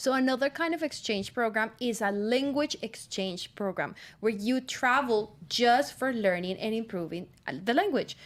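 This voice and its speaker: On a very clean recording with a silent background, a woman with a Spanish accent speaks at a moderate pace in a fairly high pitch, her intonation lively. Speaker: student radio host. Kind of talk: casual radio chat.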